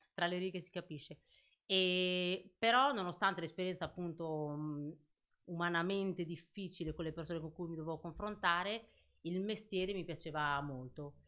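Over a quiet background, a woman talks at a moderate pace in a normal speaking voice, with fairly low pitch and ordinary pitch variation. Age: young. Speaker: clothing shop owner; podcast guest. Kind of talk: casual chat. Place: studio. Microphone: studio mic.

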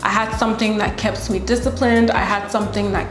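The pace is fairly quick as a woman speaks. Faint music plays in the background. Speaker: fitness creator. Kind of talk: casual vlog chat. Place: home room.

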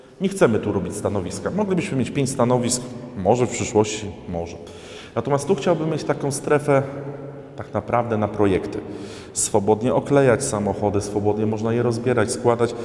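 In a room with audible echo, a man speaks at a fairly quick pace with lively intonation. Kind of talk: walkthrough tour commentary. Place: garage.

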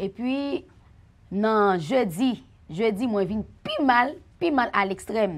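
A woman's fairly high voice with a Haitian accent, very slow and lively in intonation. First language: Haitian Creole (speaking French). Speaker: church member giving testimony; guest. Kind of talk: testimony. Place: studio.

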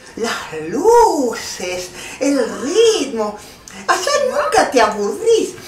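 Someone uses a put-on character voice at a very slow pace, with big pitch swings and audible room echo.

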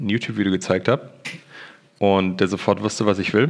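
Against a quiet background, a man with a very deep, low voice speaks at a fairly quick pace. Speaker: esports media staffer. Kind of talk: casual livestream chat. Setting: voice chat. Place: office.

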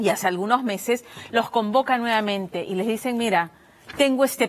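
Speech comes at a fairly quick pace. Its intonation is lively. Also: woman. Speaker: news presenter. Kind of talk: news presentation. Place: studio. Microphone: lapel.

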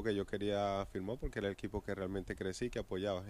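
A man's fairly low voice at a very fast pace, in a Venezuelan accent, with a dry sound and no echo. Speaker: professional baseball pitcher. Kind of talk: interview answer. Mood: relaxed, reminiscing. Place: stadium. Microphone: handheld.

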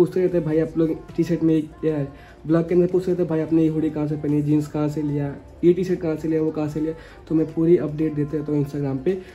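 Over faint background music, a man talks at a fairly quick pace in a monotone, flat intonation. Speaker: vlogger. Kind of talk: casual vlog chat.

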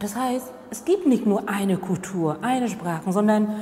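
Here a woman talks with a Vietnamese accent. Her pace is moderate. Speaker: diversity trainer and former contract worker. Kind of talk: interview answer. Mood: calm, reflective, earnest.

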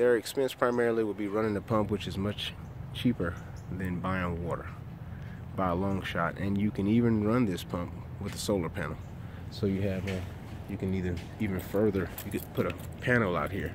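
Over noticeable background noise, a man talks at a fairly quick pace and a fairly low pitch, his intonation fairly even, with a dry sound with no echo. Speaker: landscaping contractor. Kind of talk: commentary. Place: garden. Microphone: phone near.

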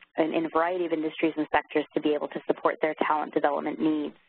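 A woman talks at a very fast pace. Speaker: training company director and webinar moderator. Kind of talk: webinar introduction. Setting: online webinar. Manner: hesitant, many fillers.

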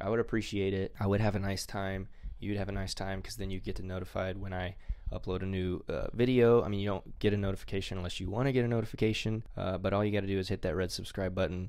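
A man with a low pitch talks at a fast pace with fairly even intonation.

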